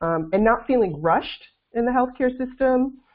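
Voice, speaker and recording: Her pitch swings very widely. The woman talks at a moderate pace with an American accent. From US, Brooklyn, New York. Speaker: NICU parent and startup founder. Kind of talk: interview. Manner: hesitant, many fillers.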